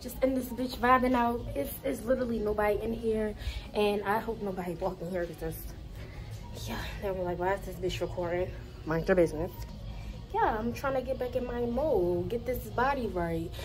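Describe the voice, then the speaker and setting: A woman talks at a fairly quick pace while clear music plays behind her. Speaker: vlogger. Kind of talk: casual vlog chat. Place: gym. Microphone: phone near.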